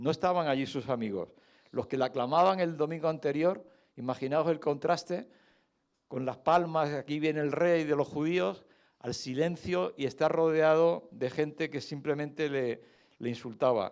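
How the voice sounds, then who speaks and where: This man has a fairly high pitch and ordinary pitch variation, talking at a moderate pace. The background is quiet. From Canary Islands, Spain. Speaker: lay preacher, retired doctor. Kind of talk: sermon. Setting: church service. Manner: conversational, with hesitations.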